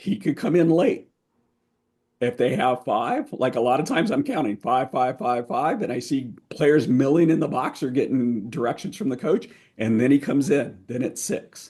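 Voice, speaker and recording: Here a man speaks with a dark, mellow tone at a fairly high pitch. His intonation is lively. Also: moderate pace. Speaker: lacrosse officials trainer. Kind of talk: training presentation. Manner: halting.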